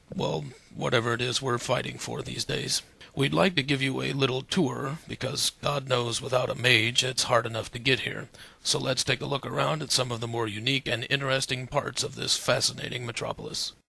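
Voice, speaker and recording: Putting on a raspy character voice, a man talks at a fairly quick pace and a medium pitch with ordinary pitch variation. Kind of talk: mock TV news anchor delivery. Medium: machinima. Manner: sarcastic, wisecracking.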